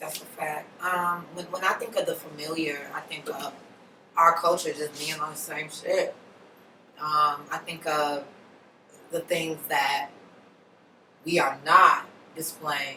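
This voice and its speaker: A woman's very deep, low, monotone voice with flat intonation, at a fairly slow pace with long, frequent pauses, big swings in loudness and noticeable background noise. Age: 30s. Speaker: podcast guest. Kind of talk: casual chat.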